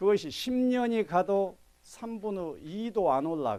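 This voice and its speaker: A man with a Jeolla accent speaks in very wide pitch swings. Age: old. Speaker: meditation teacher. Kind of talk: lecture.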